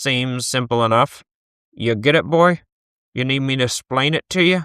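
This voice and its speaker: Using a gravelly, put-on character voice, a man speaks at a medium pitch and moderate pace with ordinary pitch variation, in a dry, close sound with no echo. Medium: read story.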